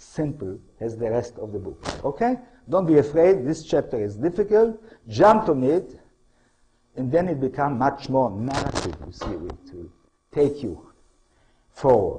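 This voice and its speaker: A man with an Israeli accent speaks at a fairly slow pace, his pitch fairly high with very wide swings. His tone is dark and mellow, with vocal fry. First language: Hebrew. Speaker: historian and author. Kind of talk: lecture. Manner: halting, non-native phrasing.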